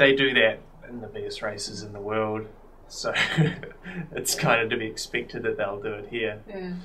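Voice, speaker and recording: Over light background noise, a man talks at a moderate pace and a fairly low pitch. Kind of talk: interview answer. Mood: relaxed, reflective, occasional laugh.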